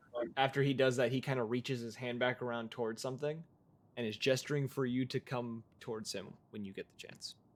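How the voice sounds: The natural reading voice keeps a fairly even intonation.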